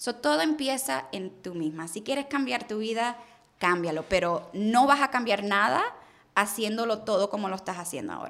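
A woman talks at a fairly high pitch and a moderate pace, her pitch swinging very widely and her loudness rising and falling sharply. Noticeable background noise sits behind her. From Puerto Rico, raised in Miami, US. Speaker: car sales entrepreneur. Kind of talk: interview conversation. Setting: studio.

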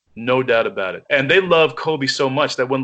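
A man with an American accent uses an unremarkable speaking voice, speaking at a moderate pace with lively intonation. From New York. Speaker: podcast co-host. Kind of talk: casual chat.

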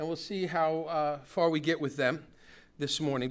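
A man talks at a fairly high pitch. His intonation stays fairly even. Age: 60s. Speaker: pastor. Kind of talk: sermon. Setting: church.

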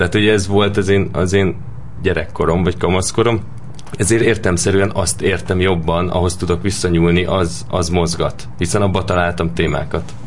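A man's very deep, low voice at a moderate pace, with ordinary pitch variation and very even loudness, amid audible room echo and noticeable background noise. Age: 20s. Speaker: film director. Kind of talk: interview.

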